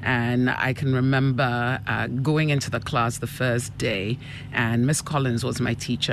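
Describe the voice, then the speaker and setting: Over noticeable background noise, a woman speaks at a moderate pace with a very deep, low pitch. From Ghana. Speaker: school principal. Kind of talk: casual interview chat. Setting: radio studio interview.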